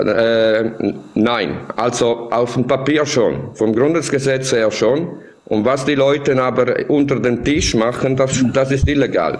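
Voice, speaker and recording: A man at medium pitch with an Italian accent, very slow pace, fairly even intonation and very even loudness, plus audible room echo and noticeable background noise. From Italy. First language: Italian (speaking German). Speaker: tech platform developer. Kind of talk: discussion. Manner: halting.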